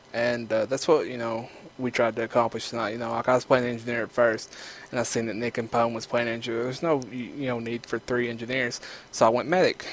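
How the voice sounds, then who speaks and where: In an Eastern Kentucky accent, a man speaks fairly quickly at a medium pitch with monotone, flat intonation. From Eastern Kentucky, rural US South. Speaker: gaming YouTuber. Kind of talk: gameplay commentary. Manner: casual, filler-heavy.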